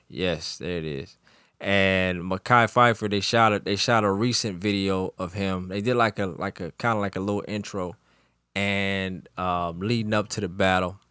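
This man has a fairly low pitch. He talks at a moderate pace. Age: 30s. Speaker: podcast co-host and music producer. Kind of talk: casual chat. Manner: animated.

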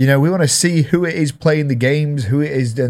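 A man with an English accent, fairly high pitch, ordinary pitch variation and moderate pace, on a very clean recording with a silent background. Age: 30s. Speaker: podcast host and streamer. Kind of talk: casual chat. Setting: studio.

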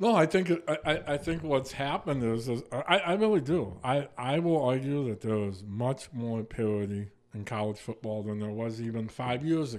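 With an ordinary speaking voice, a man talks at a moderate pace in a medium pitch, using lively intonation and hardly any pauses. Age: 50s. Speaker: sports radio co-host. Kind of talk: casual chat. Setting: radio studio.

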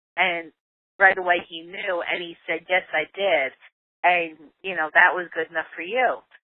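A woman with an ordinary speaking voice talks at a fairly slow pace, her fairly low pitch and fairly even intonation set against big swings in loudness. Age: 50s. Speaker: computer operator, host's mother. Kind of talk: interview.

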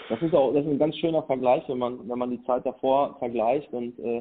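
In a plain, everyday voice, a man keeps a moderate pace and ordinary pitch variation. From Germany, Sauerland (Lüdenscheid). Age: 30s. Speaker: agency owner and volunteer. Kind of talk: interview. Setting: phone call.

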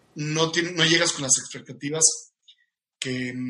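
Here a man speaks at a fairly high pitch. His intonation stays fairly even. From Mexico, Cuernavaca. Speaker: industrial engineer and business coach. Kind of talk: casual interview.

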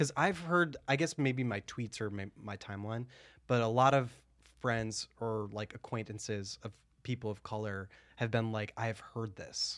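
A man talks at a moderate pace in a plain, everyday voice, medium in pitch with ordinary pitch variation, on a very clean recording with a silent background. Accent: American. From US Midwest. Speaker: podcast co-host. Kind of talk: casual chat.

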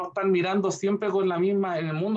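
The man's pitch is high. He talks at a fairly quick pace. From Chile, Curicó. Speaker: museum director and art conservator. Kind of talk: interview conversation.

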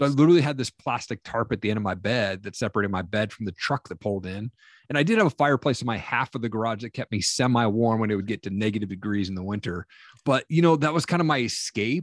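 A man with an American accent at a very fast pace, lively in intonation, the sound dry and close with no echo against a quiet background. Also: medium pitch for a man. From US Northwest (Washington, Montana). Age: 40s. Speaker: MMA promoter and motivational speaker. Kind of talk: podcast interview, personal testimony. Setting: remote call.

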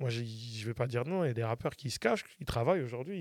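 A man with a plain, everyday voice speaks at a fairly quick pace with a medium pitch and ordinary pitch variation. The recording is very clean, with a silent background and a dry, close sound with no echo. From France, Paris region. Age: 40s. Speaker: music producer and artist manager. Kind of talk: casual interview.

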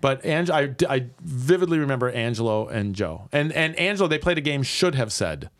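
In an American accent, a man with an ordinary speaking voice talks at a fairly quick pace and fairly high pitch, using lively intonation and hardly any pauses. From Milwaukee, Wisconsin. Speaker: improv comedian. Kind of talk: casual chat.

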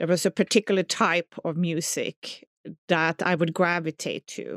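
Someone with a Swedish accent speaks at a fairly slow pace in a monotone, flat intonation. The very clean recording has a silent background and a dry, close sound with no echo. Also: woman. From southern Sweden. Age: 40s. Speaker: music teacher. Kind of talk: personal testimony.

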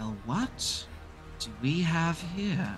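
A put-on character voice at a middle pitch. Clear background noise can be heard behind it. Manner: sinister.

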